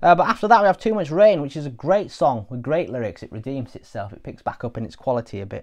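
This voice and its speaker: The speech rushes at a very fast pace in an English accent, with very wide pitch swings and big swings in loudness. The background is quiet. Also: man, fairly high pitch for a man. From England. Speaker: music reviewer. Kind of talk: casual spoken review; casual album review talk. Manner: hesitant with frequent fillers. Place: home room. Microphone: lapel.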